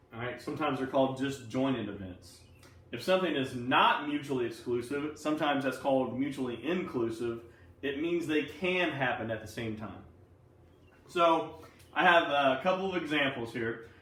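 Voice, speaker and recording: A man speaks at a moderate pace with a fairly high pitch and ordinary pitch variation, with audible room echo. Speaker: math teacher. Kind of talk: recorded lesson for students. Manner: casual, conversational. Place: classroom. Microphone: camera far.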